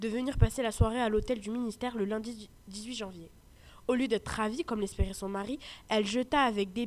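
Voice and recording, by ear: The speaker is reading aloud in a natural voice.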